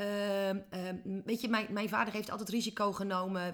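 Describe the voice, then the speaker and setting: A woman speaks at a moderate pace. Her tone is animated. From Netherlands, small village. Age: 40s. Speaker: business coach. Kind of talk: interview. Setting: office.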